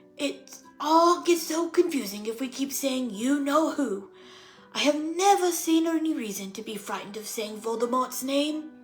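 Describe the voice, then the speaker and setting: A woman's put-on character voice at a moderate pace, with faint music in the background. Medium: read story. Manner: calm, gentle.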